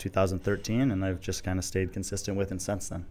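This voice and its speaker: A man with a very deep, low voice talks at a very fast pace. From US Midwest, Chicago suburbs. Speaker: CrossFit analyst and podcaster. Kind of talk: casual interview.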